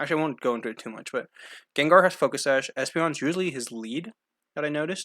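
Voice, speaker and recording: A man speaks very fast in a fairly high voice with ordinary pitch variation and a bright, sharp tone. His loudness swings widely over a silent background in a very clean recording. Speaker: gaming video creator. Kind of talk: gameplay commentary.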